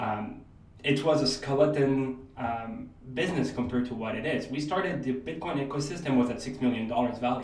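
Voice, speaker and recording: A man with a French accent, medium pitch, ordinary pitch variation and a moderate pace, over noticeable background noise. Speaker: real estate investor and crypto entrepreneur. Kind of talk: podcast interview.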